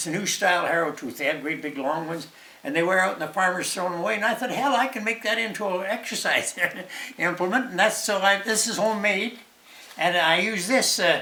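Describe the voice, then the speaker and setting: A man speaks in a raised, projected voice at a high pitch with ordinary variation and a fairly quick pace. Noticeable background noise can be heard. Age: 80s+. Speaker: retired senior demonstrating home exercises. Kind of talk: casual talk to camera. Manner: hesitant, halting.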